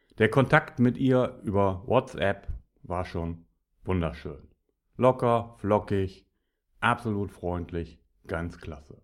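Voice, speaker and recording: The speech is very slow, with long, frequent pauses, lively intonation and big swings in loudness. It is a very clean recording with a silent background. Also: man, fairly low pitch for a man. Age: 50s. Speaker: podcaster, business speaker. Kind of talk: solo monologue podcast. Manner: animated.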